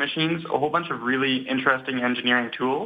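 Using an ordinary speaking voice, the man holds a medium pitch and keeps his intonation fairly even. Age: 20s. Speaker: PhD student. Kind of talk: radio interview.

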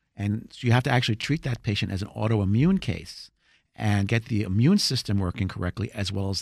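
In a very clean recording with a silent background, a man with an American accent and a normal speaking voice talks at a moderate pace, fairly low in pitch, with ordinary pitch variation. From New Jersey. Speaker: chiropractor. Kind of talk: radio interview.

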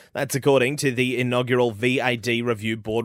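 Fairly quick pace with an Australian accent, on a very clean recording with a silent background. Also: man. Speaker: radio news presenter. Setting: studio. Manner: crisp, even and formal, authoritative and fluent with no hesitations.

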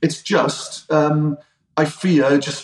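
Here a man talks in a Welsh accent at fairly high pitch. His intonation is monotone and flat. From Wales. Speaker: strength and conditioning coach. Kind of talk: casual chat.

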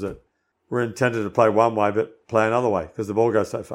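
With fairly even intonation, a man speaks in an Australian accent in a very clean recording with a silent background. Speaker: former pro golfer and golf commentator. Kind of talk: casual chat.

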